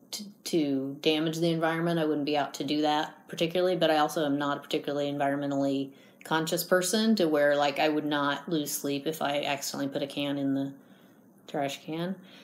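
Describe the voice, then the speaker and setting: A woman with an American accent speaks in a very deep, low voice with fairly even intonation. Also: fairly quick pace. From US Midwest, Indiana. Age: 50s. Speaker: homeowner interviewed for a research study. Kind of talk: research interview.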